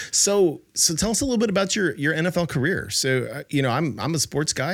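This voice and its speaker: Talking at a fairly quick pace with lively intonation, a man uses a normal speaking voice. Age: 50s. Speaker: podcast host. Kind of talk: interview conversation.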